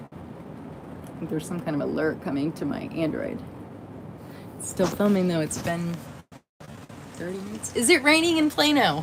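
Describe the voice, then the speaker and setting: With an American accent and vocal fry, a woman speaks fairly low and at a fairly quick pace, her very wide pitch swings and big swings in loudness broken by long, frequent pauses, with audible room echo. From Indiana. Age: 30s. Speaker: livestreamer. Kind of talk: casual live stream chat. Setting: in a camper trailer during a thunderstorm.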